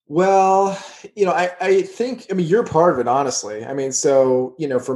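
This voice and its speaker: In a plain, everyday voice, a man talks with ordinary pitch variation. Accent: American. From Texas. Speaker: podcast host. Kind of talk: casual chat.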